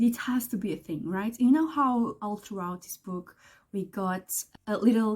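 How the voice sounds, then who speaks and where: A woman with a non-native accent, somewhat breathy, at a fairly slow pace with ordinary pitch variation. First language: not English. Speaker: book vlogger. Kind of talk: casual vlog talk. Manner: animated, excitable; halting with repetitions.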